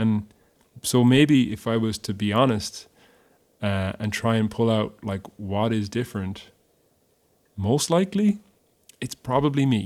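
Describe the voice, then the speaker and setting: With a western Irish accent, a man speaks at a fairly slow pace and medium pitch, with ordinary pitch variation. He pauses often and at length. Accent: Irish (west of Ireland). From Ireland, Galway. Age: 30s. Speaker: musician, singer and guitarist. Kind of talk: casual interview.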